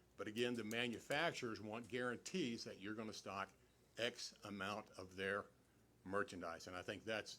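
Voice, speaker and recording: A loud man's voice with a bright, sharp tone, fairly low pitch, ordinary pitch variation and a moderate pace. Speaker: meeting attendee speaking at city council. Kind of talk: public meeting discussion. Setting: city council meeting hall, speaking at a mic. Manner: halting, many repetitions.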